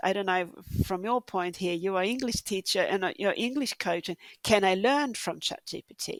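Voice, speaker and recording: On a very clean recording with a silent background, the speaker uses a Swedish accent at a moderate pace. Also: woman, dry, close sound with no echo. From Sweden. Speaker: podcast host. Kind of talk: interview.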